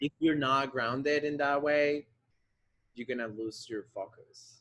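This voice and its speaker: Fairly slow, fairly even speech in a Spanish accent, dry and close with no echo. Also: man, fairly high pitch for a man. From Colombia, Bogota. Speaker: ballet dancer. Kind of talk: interview. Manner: halting.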